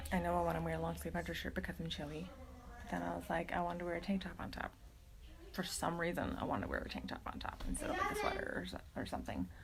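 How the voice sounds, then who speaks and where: Very fast speech comes through over noticeable background noise and audible room echo. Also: woman. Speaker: mental health vlogger, homeschooling mother. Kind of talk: casual livestream talk. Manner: hesitant, many fillers.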